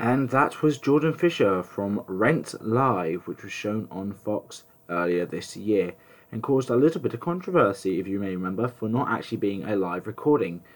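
Speaking at a moderate pace, this voice has an English accent and a lively, bouncing intonation. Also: man, fairly low pitch for a man. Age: 20s. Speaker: podcast host and musical theatre student. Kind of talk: casual solo podcast talk.

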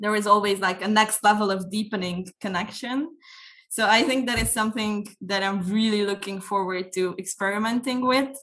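A woman speaks with a Hungarian accent at a medium pitch. Her intonation is fairly even. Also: moderate pace. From Hungary. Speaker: youth NGO trainer and incoming podcast host. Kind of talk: casual chat.

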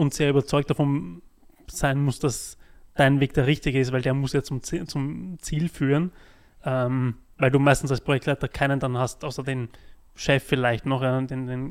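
On a very clean recording with a silent background, a man speaks at a moderate pace. His pitch is medium and his intonation fairly even. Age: 30s. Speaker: podcast host, project manager. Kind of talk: casual interview.

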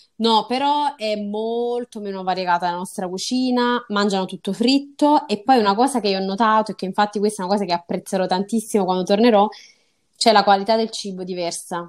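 The voice is an unremarkable speaking voice with ordinary pitch variation. It moves at a fairly quick pace on a very clean recording with a silent background. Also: woman, medium pitch for a woman. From southern Italy, Salerno. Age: 20s. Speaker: medical student on Erasmus. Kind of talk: interview.

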